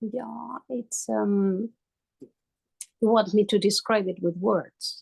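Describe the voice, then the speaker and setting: A woman's somewhat breathy, medium-pitched voice at a very slow pace, broken by long, frequent pauses, in a dry, close sound with no echo. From Spain. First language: Spanish. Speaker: coaching client. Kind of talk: coaching session. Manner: halting.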